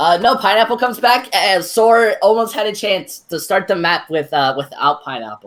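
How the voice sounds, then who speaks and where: Moderate pace with hardly any pauses. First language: Spanish. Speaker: esports caster. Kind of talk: live commentary. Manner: halting.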